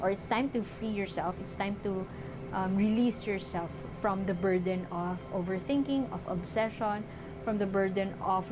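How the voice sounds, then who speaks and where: With music in the background, a woman speaks at a medium pitch and a moderate pace, her intonation fairly even. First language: not English. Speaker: tarot reader. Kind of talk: tarot reading. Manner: halting, many fillers.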